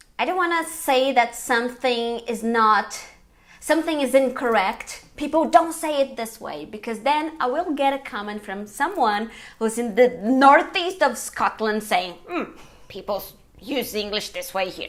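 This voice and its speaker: At a fairly slow pace, a woman speaks in a high pitch with lively intonation. Her loudness swings widely. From Brazil. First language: Portuguese. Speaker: English teacher and YouTuber. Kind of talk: interview.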